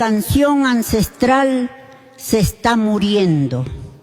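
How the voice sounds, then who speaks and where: With noticeable background noise, a woman speaks in a high voice. Her pace is very slow. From Andean highlands. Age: 80s. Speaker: elderly folk singer, contestant. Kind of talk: interview on stage.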